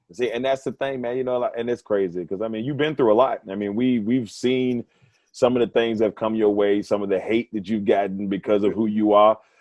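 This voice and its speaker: With a plain, everyday voice, a man speaks at a fairly quick pace and medium pitch, his intonation fairly even. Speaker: sports radio host. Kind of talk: casual interview chat.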